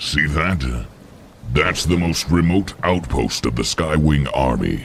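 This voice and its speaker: Putting on a character voice, a man speaks with a very deep, low pitch over clear background noise. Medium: audio drama. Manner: cold, curt, commanding.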